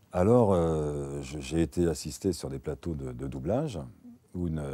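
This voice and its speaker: A man's very deep, low voice, dark and mellow in tone, with lively intonation and vocal fry. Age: 60s. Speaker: voice actor. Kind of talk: interview monologue. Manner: halting.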